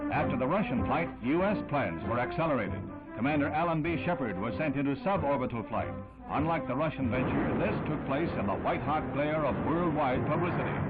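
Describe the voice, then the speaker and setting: A man's fairly high, dramatic voice with very wide pitch swings and very even loudness, music in the background. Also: fairly quick pace. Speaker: newsreel narrator. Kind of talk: vintage newsreel narration. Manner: brisk, dramatic, authoritative.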